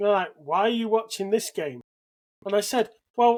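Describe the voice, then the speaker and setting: Someone speaks with a British accent at a fairly quick pace. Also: man. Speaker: podcast co-host. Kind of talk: casual chat.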